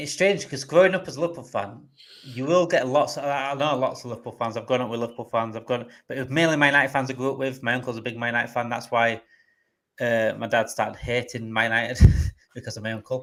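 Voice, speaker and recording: Speaking at a very fast pace in a northern English accent, a man with a medium pitch and a bright, sharp tone uses ordinary pitch variation on a very clean recording with a silent background. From northern England. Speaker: football fan channel host. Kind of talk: live stream chat.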